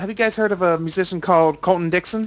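With an American accent, this man talks in a high voice and with ordinary pitch variation. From United States. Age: 20s. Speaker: podcast host. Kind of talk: casual chat. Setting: video call.

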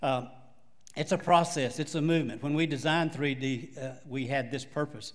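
A man in a Texan accent speaks at a fairly high pitch with ordinary pitch variation. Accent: Texas Southern. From Texas. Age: 70s. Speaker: pastor. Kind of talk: sermon. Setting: church.

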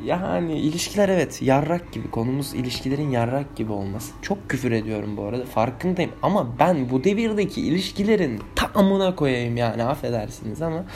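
Music plays in the background as a man speaks at a moderate pace. His medium-pitched voice makes very wide pitch swings. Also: hardly any pauses. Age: 20s. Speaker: vlogger. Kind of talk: casual monologue.

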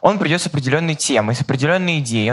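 A man in a Chinese accent, fairly high-pitched, with lively intonation over noticeable background noise. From China, Guangzhou. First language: Chinese (speaking Russian). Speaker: journalism student in audience. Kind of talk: audience question.

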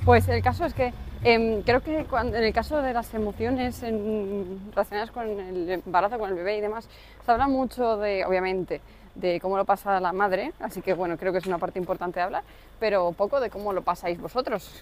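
A woman with a normal speaking voice talks at a fairly quick pace, her medium pitch showing ordinary pitch variation. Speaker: podcast co-host, new mother and entrepreneur. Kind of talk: casual chat.

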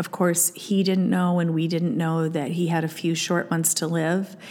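A woman with an American accent speaks at a moderate pace in a fairly low pitch. Her intonation is monotone and flat. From Iowa, US Midwest. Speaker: podcast host. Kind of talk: solo podcast monologue.

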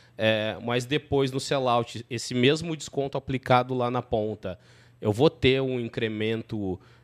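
With a dry, close sound and no echo, a man speaks at a medium pitch in an unremarkable speaking voice with fairly even intonation. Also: very clean recording, silent background. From southern Brazil. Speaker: podcast host, company CEO. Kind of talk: casual business interview.

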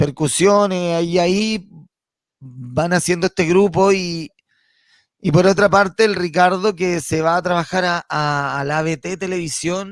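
Delivery comes at a fairly slow pace with fairly even intonation. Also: man. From Chile, Santiago. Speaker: comedian. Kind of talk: casual chat.

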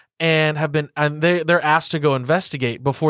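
A man in an American accent at a very fast pace, fairly even intonation, very clean recording with a silent background. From US South. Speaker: podcast co-host. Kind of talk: casual chat; trivia quiz.

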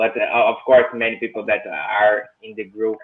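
A man with a Portuguese accent at a moderate pace. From Brazil. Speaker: engineer. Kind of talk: casual chat.

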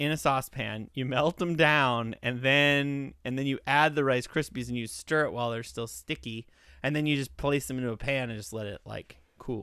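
With a bright, sharp tone, a man talks at a moderate pace and a medium pitch. He sounds animated on a very clean recording with a silent background. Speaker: comedian podcast host. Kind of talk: casual comedic chat reviewing a product. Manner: animated, joking.

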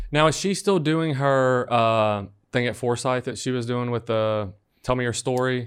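A man with an ordinary speaking voice talks at a moderate pace and medium pitch, with ordinary pitch variation and a quiet background. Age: 30s. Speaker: podcast producer. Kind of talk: casual chat.

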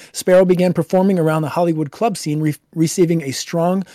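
A man speaks in a normal speaking voice at a fairly quick pace, with ordinary pitch variation and a dry, close sound with no echo. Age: 20s. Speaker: podcast co-host. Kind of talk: casual chat; reading aloud.

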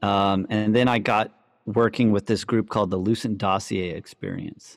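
With a plain, everyday voice, a man speaks at a moderate pace and fairly low pitch with fairly even intonation. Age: 30s. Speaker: electronic music producer and DJ. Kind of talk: casual chat.

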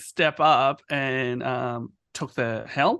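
The man's tone is bright and sharp, and the background stays quiet. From Myanmar. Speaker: podcast host. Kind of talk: casual chat.

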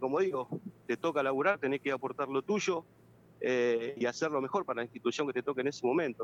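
Fairly high in pitch, a man talks at a fairly quick pace with ordinary pitch variation, the sound dry and close with no echo. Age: 40s. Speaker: former footballer and youth coach. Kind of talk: phone interview. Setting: phone call.

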